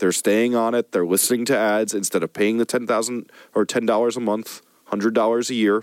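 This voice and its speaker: A man's ordinary speaking voice at medium pitch and a moderate pace, with a dry, close sound and no echo. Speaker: podcast host and music producer. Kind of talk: casual podcast banter.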